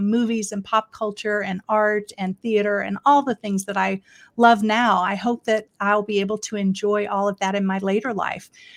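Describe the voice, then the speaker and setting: Recorded very cleanly with a silent background and a dry, close sound with no echo, a woman with an American accent uses a normal speaking voice at a fairly high pitch and moderate pace. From Florida, US South. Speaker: elder care consultant. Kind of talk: casual interview.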